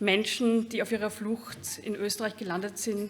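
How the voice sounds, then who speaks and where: Against noticeable background noise, a woman talks at a moderate pace in a fairly high pitch. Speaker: laudation speaker. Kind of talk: prepared speech. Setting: award ceremony with audience. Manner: halting.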